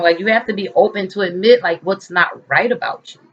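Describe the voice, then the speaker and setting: Very wide pitch swings and an animated tone carry speech delivered at a fairly quick pace. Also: woman. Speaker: lifestyle vlogger. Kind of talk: casual vlog monologue. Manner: fast.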